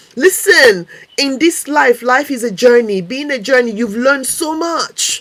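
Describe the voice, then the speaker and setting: Lively in intonation and fairly slow, a woman speaks in a high voice over noticeable background noise. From Togo, West Africa. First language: Mina (also French). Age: 50s. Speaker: life coach. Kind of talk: motivational talk on a live stream. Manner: animated.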